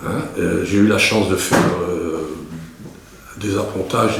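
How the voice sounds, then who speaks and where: A man with a fairly low pitch speaks at a fairly slow pace with fairly even intonation, amid noticeable background noise and audible room echo. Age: 60s. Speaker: war veteran. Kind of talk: interview. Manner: halting.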